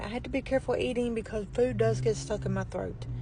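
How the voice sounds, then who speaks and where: A woman speaks quietly. Her pace is fairly quick. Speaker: vlogger. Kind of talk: casual vlog talk.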